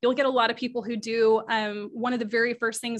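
A woman talks at a fairly quick pace in a normal speaking voice, fairly high in pitch. Her intonation stays fairly even against a quiet background. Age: 30s. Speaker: group engagement strategist. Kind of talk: interview.

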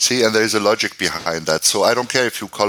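The man's tone is bright and sharp. Pitch varies in an ordinary way. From Germany. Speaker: marketing consultant and author. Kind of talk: interview.

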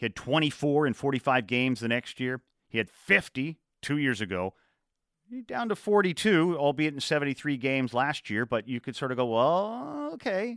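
In an ordinary speaking voice, a man talks at a fairly high pitch and a fairly slow pace. His intonation is lively, and the recording is very clean with a silent background. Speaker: radio host. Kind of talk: radio sports talk show. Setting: radio studio.

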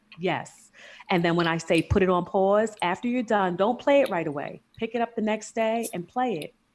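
A woman with a New York accent at a medium pitch. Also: ordinary pitch variation, moderate pace. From New York, Queens. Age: 40s. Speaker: lifestyle coach. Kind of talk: casual chat. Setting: remote recording from home.

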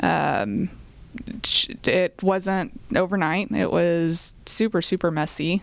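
Vocal fry runs through a woman's fairly low-pitched voice. She has an American accent and ordinary pitch variation. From Oklahoma (Choctaw, near Oklahoma City). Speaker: real estate investment company co-founder. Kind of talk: podcast interview. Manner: hesitant with fillers.

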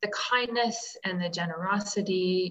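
The delivery comes at a fairly slow pace with fairly even intonation. It is an ordinary speaking voice. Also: woman. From Canada. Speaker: life coach, former humanitarian aid worker. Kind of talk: interview.

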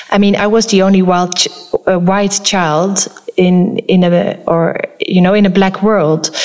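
Speaking at a fairly slow pace, a woman uses medium pitch and monotone, flat intonation. Her loudness stays very even, with noticeable background noise behind her. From Netherlands, early childhood in Kenya. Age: 40s. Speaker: photographer. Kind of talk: interview. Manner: halting, many fillers.

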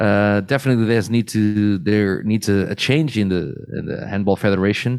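Speaking at a moderate pace in a Portuguese accent, a man uses a fairly low pitch with ordinary pitch variation. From Portugal. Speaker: beach handball expert. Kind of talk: casual chat.

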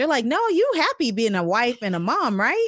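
A woman talking at a moderate pace. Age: 40s. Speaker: podcast guest, blogger on midlife. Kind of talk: casual interview.

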